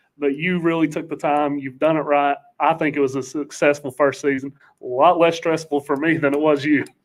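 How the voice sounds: A man's fairly high pitch with little pitch movement, at a fairly quick pace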